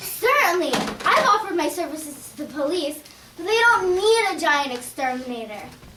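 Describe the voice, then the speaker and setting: A female-sounding voice uses a put-on character voice at an extremely high pitch. The pace is moderate. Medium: audio drama. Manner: earnest, cheerful.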